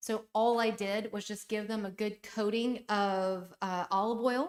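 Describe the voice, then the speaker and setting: This woman has a fairly high pitch, ordinary pitch variation and a moderate pace. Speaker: home and lifestyle YouTuber. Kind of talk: live stream chat and cooking demo. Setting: live stream, on vacation in Greece. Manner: loud.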